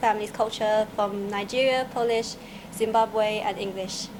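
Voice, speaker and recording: Monotone, flat intonation from a woman at a fairly high pitch and moderate pace, amid noticeable background noise. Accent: Vietnamese. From Vietnam. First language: Vietnamese. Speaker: student presenter. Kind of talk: video tour introduction.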